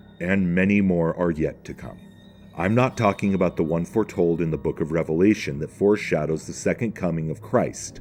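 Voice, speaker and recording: Over music in the background, a man with an American accent talks at a moderate pace. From northern United States. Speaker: religion commentator. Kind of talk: spoken essay narration.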